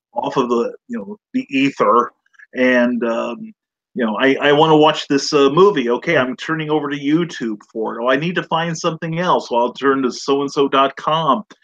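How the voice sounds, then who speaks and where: A man's ordinary speaking voice, fairly high in pitch, with ordinary pitch variation, a moderate pace, and a dry, close sound free of echo. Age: 60s. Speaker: author. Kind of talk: casual chat.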